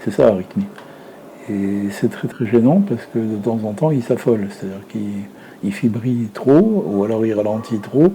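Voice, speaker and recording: Noticeable background noise surrounds a man's voice. He keeps a moderate pace with ordinary pitch variation. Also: medium pitch for a man. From Lebanon (Beirut). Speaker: retired filmmaker. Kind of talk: interview. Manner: hesitant, many fillers.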